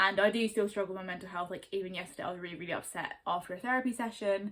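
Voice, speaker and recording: A woman with a southern English accent, medium in pitch, at a very fast pace. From Surrey, England. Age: 20s. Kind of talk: casual talk to camera.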